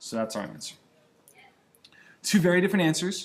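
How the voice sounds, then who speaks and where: A man talks at a very fast pace, somewhat breathy, with ordinary pitch variation. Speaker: math teacher. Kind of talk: tutorial. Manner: casual.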